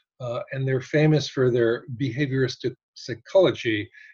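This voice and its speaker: A man talks at a moderate pace with an American accent. His voice is medium in pitch and somewhat breathy. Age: 60s. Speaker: photographer. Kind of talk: casual chat. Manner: halting.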